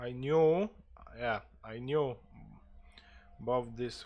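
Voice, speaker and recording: Very slow speech with a Polish accent. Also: man. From Poland. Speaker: gaming streamer. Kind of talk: live gameplay stream with roleplay. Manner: mumbling.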